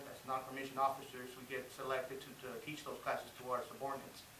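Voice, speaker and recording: A fairly high-pitched man amid noticeable background noise and audible room echo. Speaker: army non-commissioned officer and student. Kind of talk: class speech presentation. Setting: speech class with audience. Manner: frequent filler hesitations.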